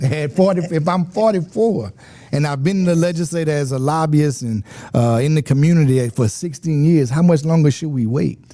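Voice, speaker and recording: In a Louisiana accent, a man with a dark, mellow tone and a fairly high pitch speaks at a moderate pace, his pitch varying in the ordinary way. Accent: southern US (Louisiana). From Louisiana, Lafayette. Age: 40s. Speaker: state legislator. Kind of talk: interview.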